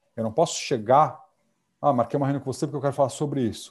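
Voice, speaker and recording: With ordinary pitch variation, a man talks in a dark, mellow tone that is somewhat breathy. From Brazil. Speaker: corporate security manager. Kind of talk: casual interview.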